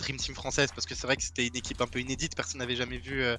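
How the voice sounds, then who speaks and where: Music plays in the background. A man speaks very fast at a medium pitch. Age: 20s. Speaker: esports pro player. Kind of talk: podcast interview.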